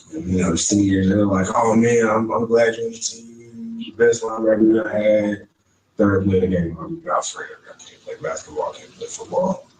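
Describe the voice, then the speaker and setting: A man with a Texan accent at medium pitch, moderate pace, ordinary pitch variation and big swings in loudness. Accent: Texan Southern US. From East Texas (Shelby County) and Houston. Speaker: interviewee. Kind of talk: interview.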